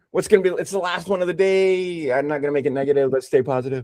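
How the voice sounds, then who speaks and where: A man speaks with an animated tone. His pitch sits fairly high for a man. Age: 60s. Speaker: math tutor. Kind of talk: tutoring session.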